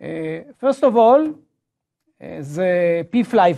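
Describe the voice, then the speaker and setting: In a quiet background, a man's voice swings very widely in pitch. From Israel. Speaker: professor. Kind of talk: lecture. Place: classroom.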